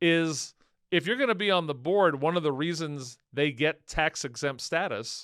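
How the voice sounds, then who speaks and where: Recorded very cleanly against a silent background, a man with an American accent speaks with ordinary pitch variation. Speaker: speaker giving advice. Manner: conversational, casual.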